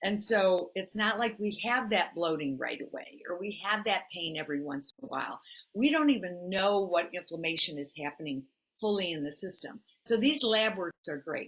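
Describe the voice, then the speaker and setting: With lively intonation, a woman talks at a moderate pace in an unremarkable speaking voice of medium pitch. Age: 60s. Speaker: health practitioner co-host. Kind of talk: casual chat.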